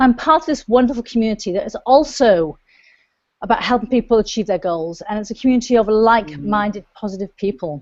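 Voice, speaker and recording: Speaking very fast with lively intonation, a woman talks in a Welsh accent. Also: fairly high pitch for a woman. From South Wales, UK. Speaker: online show host, coach. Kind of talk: show intro to camera.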